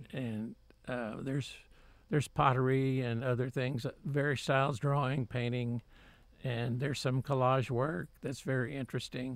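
A man's medium-pitched voice with a Texan accent, moderate pace and fairly even intonation, on a very clean recording with a silent background. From Texas, Waco. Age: 70s. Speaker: painter. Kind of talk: interview. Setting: studio.

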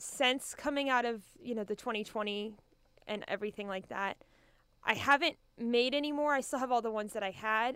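A woman with an American accent and a normal speaking voice, fairly high in pitch, with ordinary pitch variation at a fairly quick pace. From Kansas. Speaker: art teacher and artist. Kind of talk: radio interview.

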